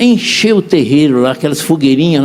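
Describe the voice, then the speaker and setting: Noticeable background noise sits behind a man's voice. He talks at a fairly quick pace with a fairly high pitch. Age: 70s. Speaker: apostle preacher. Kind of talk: sermon.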